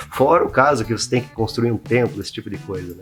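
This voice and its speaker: A man's medium-pitched voice at a fairly quick pace, with music playing behind him. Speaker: YouTube host, freemason teacher. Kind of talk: casual explanatory monologue. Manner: fast; halting, many fillers.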